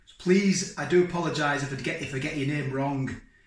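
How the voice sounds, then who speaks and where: There is audible room echo in this clip. A man talks at a moderate pace. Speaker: food vlogger. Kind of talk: casual vlog chat. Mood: cheerful, grateful. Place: kitchen. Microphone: camera far.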